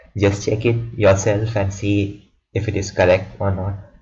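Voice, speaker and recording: This man's voice sits fairly low in pitch and holds a flat monotone. Room echo is audible around him. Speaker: student tutor explaining exam formulas. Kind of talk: tutorial. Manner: halting, repeated words.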